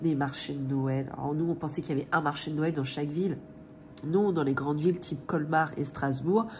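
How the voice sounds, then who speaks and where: Somewhat breathy speech at a fairly quick pace with ordinary pitch variation. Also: woman. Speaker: family budgeting vlogger. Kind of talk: casual vlog chat. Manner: hesitant, many filler sounds.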